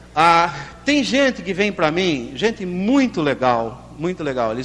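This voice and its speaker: A man with a high pitch swings through very wide pitch changes amid noticeable background noise. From Limeira, Brazil.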